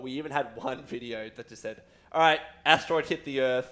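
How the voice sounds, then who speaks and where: A man with an Australian accent and medium pitch speaks in an animated tone at a fairly quick pace, with ordinary pitch variation. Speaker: community manager hosting a game stream. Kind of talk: live gameplay stream chat. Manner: loud.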